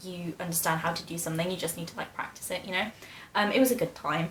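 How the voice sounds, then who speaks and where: Talking at a very fast pace, a woman with a British accent uses a fairly low pitch over noticeable background noise. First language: Polish. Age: 20s. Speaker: YouTuber, medical student. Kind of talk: casual Q&A vlog.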